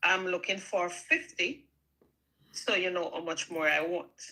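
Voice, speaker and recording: A woman with a strong Jamaican accent, a medium pitch, a bright, sharp tone and a very slow pace. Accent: Jamaican, strong patois. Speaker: small YouTuber. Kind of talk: casual chat.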